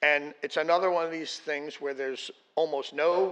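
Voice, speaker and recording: A man with a normal speaking voice and fairly high pitch talks at a moderate pace with fairly even intonation. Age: 60s. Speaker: public commenter at city meeting. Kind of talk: public comment.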